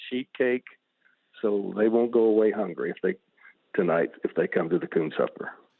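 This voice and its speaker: A man speaks in an Arkansas accent at medium pitch. His pace is moderate. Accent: Southern US (Arkansas). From US South. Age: 70s. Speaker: retired banker and fundraiser treasurer. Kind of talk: radio interview. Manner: halting, many fillers.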